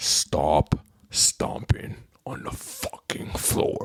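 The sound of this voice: The voice is a raspy, put-on character voice from a man. His pace is very slow.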